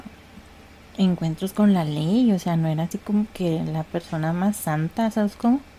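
Fairly low in pitch, a woman with an unremarkable speaking voice talks at a fairly slow pace with lively intonation. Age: 30s. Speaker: podcast host, architect. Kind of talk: casual chat.

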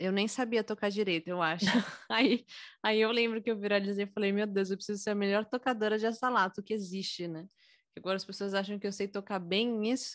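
A woman with a São Paulo accent talks at a fairly quick pace against a quiet background. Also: medium pitch for a woman, fairly even intonation. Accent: Paulistano Brazilian Portuguese. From São Paulo, Brazil. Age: 20s. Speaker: singer and music teacher. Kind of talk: casual interview.

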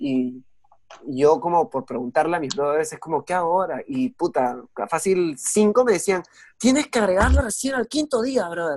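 A high-pitched man with very wide pitch swings at a moderate pace, the sound dry and close with no echo against a quiet background. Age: young. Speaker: podcast host, guest. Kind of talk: casual chat.

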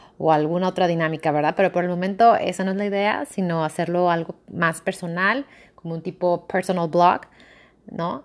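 The recording is very clean, with a silent background. A woman with a fairly low pitch speaks at a moderate pace with fairly even intonation. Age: 20s. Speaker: podcaster. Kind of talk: casual monologue.

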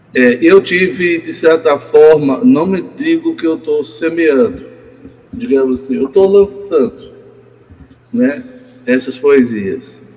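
Over noticeable background noise, a man with a fairly high pitch talks very slowly, with very wide pitch swings and long, frequent pauses. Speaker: poet. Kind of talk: casual chat. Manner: halting.

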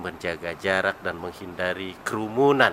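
This man has a very deep, low pitch with ordinary variation. There is noticeable background noise. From Tasikmalaya, West Java, Indonesia. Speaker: regional legislator. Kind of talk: podcast interview.

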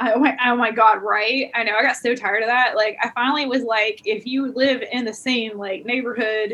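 A woman's fairly high voice with an American accent, amid noticeable background noise. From Alabama, US South. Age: 40s. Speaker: comedian and photographer. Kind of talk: casual interview chat. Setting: video call.

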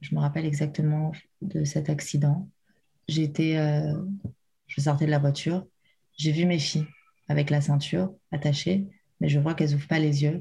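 Very deep and low, a woman's somewhat breathy voice has a dark, mellow tone and monotone, flat intonation at very even loudness. She goes at a fairly slow pace with long, frequent pauses. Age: 30s. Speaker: bereaved mother sharing her story. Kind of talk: emotional testimony. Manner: halting, many hesitations.

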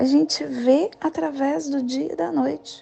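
A woman speaks very slowly with very wide pitch swings, while noticeable background noise runs underneath. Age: 40s. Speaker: spiritual guide. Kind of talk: daily spiritual talk.

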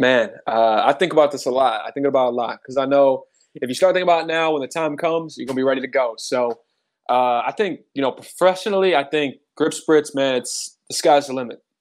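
A man talks at a fairly quick pace in a fairly high pitch with ordinary pitch variation. He has an unremarkable speaking voice. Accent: American. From Cleveland, Ohio. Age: 20s. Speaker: entrepreneur. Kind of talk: casual chat.

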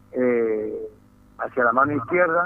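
Background noise is clearly audible throughout. The pitch of the voice moves in a normal way. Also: man. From Tucumán, Argentina. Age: 60s. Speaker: football club executive. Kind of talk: radio interview.

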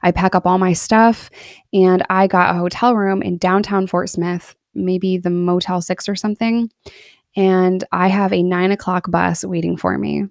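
A woman speaks at a medium pitch with an American accent. Her intonation is monotone and flat, and her pace is moderate. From upstate New York (Binghamton area). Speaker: podcast host and YouTuber recounting prison experience. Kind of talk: personal storytelling monologue. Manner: candid, conversational with laughs.

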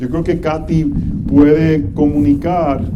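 A man talks very slowly with a fairly high pitch. Noticeable background noise and audible room echo are present. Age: 40s. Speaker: pastor. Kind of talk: sermon.

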